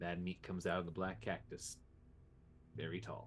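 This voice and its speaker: In a put-on character voice, a man speaks with a very deep, low pitch and lively intonation over clear background noise. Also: moderate pace. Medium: actual play. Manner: terse broken speech, hostile.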